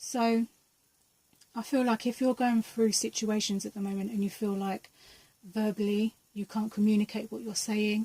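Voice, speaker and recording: A woman's somewhat breathy, fairly high voice, monotone and flat, at a moderate pace. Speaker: tarot and energy reader. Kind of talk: pick-a-card tarot reading.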